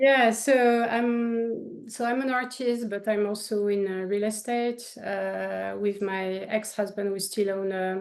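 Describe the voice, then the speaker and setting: Speaking in a French accent, a woman holds a medium pitch and fairly even intonation at a very slow pace. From France, Paris. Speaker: painter. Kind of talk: interview.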